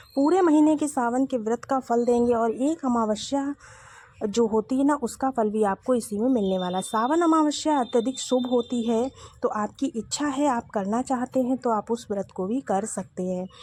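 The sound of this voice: A dark, mellow tone in a dry, close sound with no echo. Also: woman, fairly high pitch for a woman, ordinary pitch variation, moderate pace.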